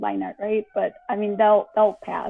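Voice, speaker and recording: Fairly high-pitched, the voice of a woman. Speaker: webcomic creator. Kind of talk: interview. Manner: hesitant, many fillers.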